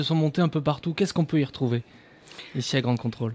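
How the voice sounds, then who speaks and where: Talking at a very fast pace, this man has a fairly high pitch. His pitch variation is ordinary. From Périgord, France. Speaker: radio host. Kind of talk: live radio show. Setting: studio.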